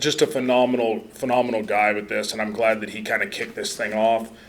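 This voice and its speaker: At a medium pitch, a man speaks fairly quickly. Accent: Midwestern US. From US Midwest, central Nebraska. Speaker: soil health lab scientist, conference speaker. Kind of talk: conference presentation. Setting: conference room, podium with microphone, live audience. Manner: loud; casual, humorous.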